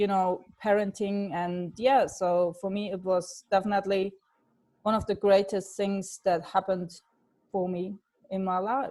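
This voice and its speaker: A woman speaks at a fairly slow pace in a medium pitch, her dark, mellow tone carried on a monotone, flat intonation. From Germany. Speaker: life coach. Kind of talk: webinar presentation.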